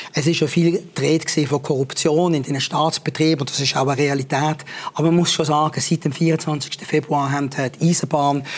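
A man speaks in a flat, monotone way over noticeable background noise. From Switzerland, Basel. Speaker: war reporter. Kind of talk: interview. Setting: studio.

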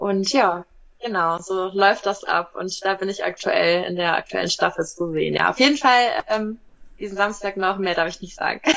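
A woman has an ordinary speaking voice at a medium pitch, with ordinary pitch variation. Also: moderate pace. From Hesse, Germany (Wiesbaden). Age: 30s. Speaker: animal physiotherapist, reality TV contestant. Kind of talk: interview.

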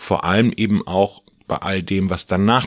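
A man speaks with a very deep, low pitch and monotone, flat intonation. The sound is dry and close, with no echo. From Mecklenburg, northern Germany. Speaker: farmer and agricultural association president. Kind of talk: interview. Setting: office.

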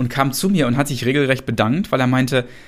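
Vocal fry from a man at a medium pitch with ordinary pitch variation. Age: 40s. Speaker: entrepreneur and management consultant. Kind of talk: interview.

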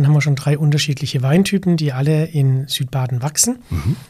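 A man talks at a moderate pace with a fairly high pitch and ordinary pitch variation. His tone is dark and mellow, and somewhat breathy. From south-western Germany, Baden (Weil am Rhein). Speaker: sommelier and wine expert. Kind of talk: interview conversation.

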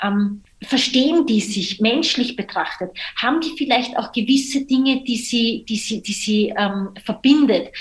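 Noticeable background noise behind a woman's fairly high-pitched speech at a moderate pace. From Austria. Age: 30s. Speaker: social entrepreneur. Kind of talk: podcast interview.

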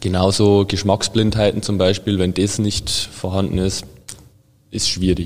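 Fairly low and monotone with flat intonation, a man speaks at a fairly slow pace. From Bavarian Forest, Bavaria. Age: 20s. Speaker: food chemist and sensory lab head. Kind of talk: casual interview.

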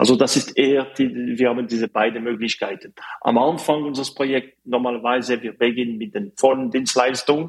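At a moderate pace, a man with a French accent speaks at a medium pitch. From French-speaking Switzerland, Fribourg. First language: French (speaking German). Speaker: mechanical engineer, startup representative. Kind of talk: interview. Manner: halting, many fillers.

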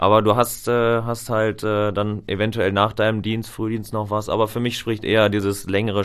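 A man with a fairly low voice talks at a moderate pace. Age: 20s. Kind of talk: casual chat. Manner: halting.

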